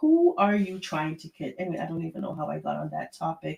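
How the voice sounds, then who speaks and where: A woman speaks with a Jamaican accent. Her tone is animated. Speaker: live stream host, royal gossip commentator. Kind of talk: casual live stream commentary. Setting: live stream.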